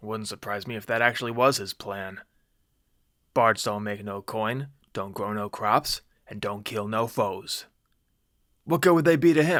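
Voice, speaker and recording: A man's put-on character voice at medium pitch, with big swings in loudness, a moderate pace and long, frequent pauses, in a very clean recording over a silent background. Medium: read story. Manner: gruff, blunt.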